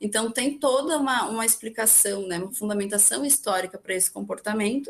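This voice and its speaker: Fairly high in pitch, a woman speaks in an unremarkable speaking voice. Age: young. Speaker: young left-wing political activist. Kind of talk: podcast panel discussion.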